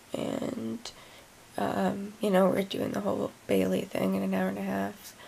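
A woman speaks while a little noise can be heard in the background. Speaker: chronic illness vlogger; vlogger. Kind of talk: casual vlog. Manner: hesitant, many fillers. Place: home room. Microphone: phone near.

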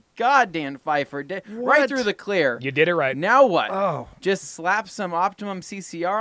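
A man speaks in a raised, projected voice at a fairly slow pace, with very wide pitch swings. The sound is dry with no echo, and the background is quiet. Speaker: podcast host. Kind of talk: reading viewer questions, casual banter. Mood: jokey, laughing. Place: studio. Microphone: studio mic.

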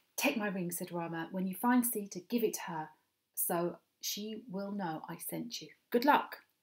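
Quiet background behind plain reading aloud, pitch varying in an ordinary way

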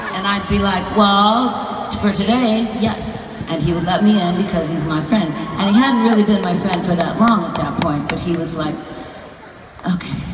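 Noticeable background noise and audible room echo around a woman's voice, its pitch moving in an ordinary way. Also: moderate pace. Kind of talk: onstage storytelling. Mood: warm, playful. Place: stage. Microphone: pa.

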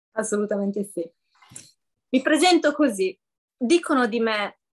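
Against a quiet background, a woman with a high pitch speaks at a fairly slow pace with lively intonation. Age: 50s. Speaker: coaching client. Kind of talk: testimony. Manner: hesitant, many fillers. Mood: warm, smiling, grateful. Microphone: video call.

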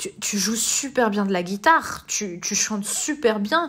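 A woman's medium-pitched voice holds a moderate pace, its pitch varying in an ordinary way. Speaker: podcast host and life coach. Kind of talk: casual monologue with advice. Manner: hesitant with many fillers.

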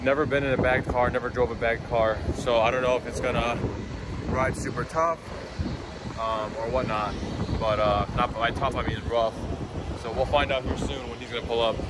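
A fairly quick pace over loud background noise. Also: man. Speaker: car vlogger. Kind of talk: casual vlog chat. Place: street. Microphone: phone near.

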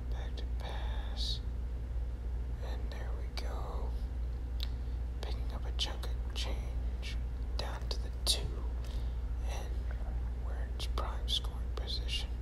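The speech moves at a very slow pace. Loud background noise runs underneath. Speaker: game commentator. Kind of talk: ASMR gameplay commentary.

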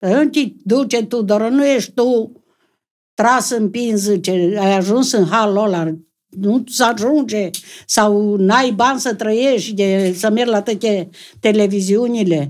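A woman with a Transylvanian accent speaks at a very slow pace, her pitch fairly high with ordinary variation. Her loudness stays very even against a quiet background. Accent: rural Transylvanian Romanian. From Transylvania, Romania. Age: old. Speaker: comedy sketch actress. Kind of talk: casual chat. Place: studio. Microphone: studio mic.

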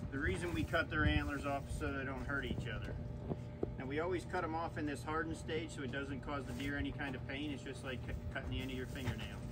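Loud background noise sits under a man talking at a fairly quick pace. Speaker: farm tour guide. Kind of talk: tour guide explanation. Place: farm machine. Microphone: camera far.

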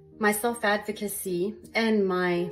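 A woman is talking while faint music sits in the background. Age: 50s. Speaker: podcast host. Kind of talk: promotional monologue. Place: bathroom. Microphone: phone near.

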